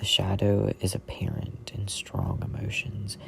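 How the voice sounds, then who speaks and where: Someone whispers at a fairly slow pace. Noticeable background noise runs under the voice. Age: 20s. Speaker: content creator. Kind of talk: reading aloud.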